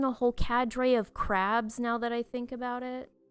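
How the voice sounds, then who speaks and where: Music plays in the background as a woman talks at a high pitch, the sound dry and close with no echo. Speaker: pet battle gaming commentator. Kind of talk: scripted review narration.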